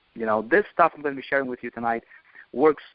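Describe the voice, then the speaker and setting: With a non-native accent, a man speaks using ordinary pitch variation. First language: not English. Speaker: network marketing trainer. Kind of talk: motivational training call. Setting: conference call. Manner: animated.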